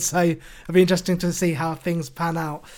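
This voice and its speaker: A man with a British accent and a high pitch at a moderate pace. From UK suburbs. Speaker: podcast host. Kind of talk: interview.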